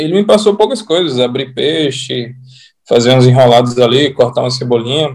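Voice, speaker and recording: A man talks in an ordinary speaking voice, pitched fairly high. His pace is moderate and his intonation lively. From Natal, Rio Grande do Norte, Brazil. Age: 30s. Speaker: sushi chef. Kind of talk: casual interview chat.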